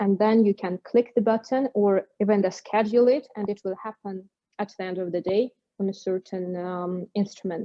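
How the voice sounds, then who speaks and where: With a non-native accent, a woman of medium pitch speaks at a moderate pace with fairly even intonation. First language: not English. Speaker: bridging technology company executive. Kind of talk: webinar Q&A. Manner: halting.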